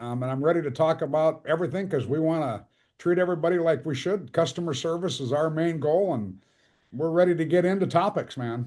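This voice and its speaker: Against a quiet background, a man with an ordinary speaking voice talks at a fairly quick pace, his fairly high pitch showing ordinary variation. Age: 60s. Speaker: archery tournament organizer. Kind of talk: casual chat.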